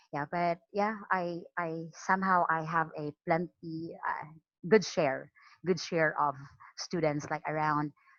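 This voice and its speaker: Very slow, fairly low speech from a woman with a slight Filipino accent and fairly even intonation. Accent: Filipino regional accent, slight. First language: Cebuano. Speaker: online English teacher. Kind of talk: training talk. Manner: halting, frequent repetitions.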